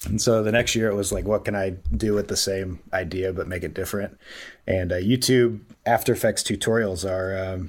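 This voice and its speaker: A man with an American accent talks at a fairly quick pace, his pitch fairly low and intonation fairly even, on a very clean recording with a silent background. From US Midwest, Columbus, Ohio. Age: 30s. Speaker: sports video producer. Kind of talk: interview, casual chat. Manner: halting, many fillers.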